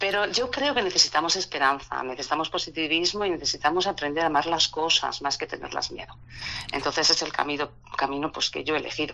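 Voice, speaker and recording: Very fast female speech at a very deep, low pitch. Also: ordinary pitch variation. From Spain. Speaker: founder of an ocean-themed platform. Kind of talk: interview.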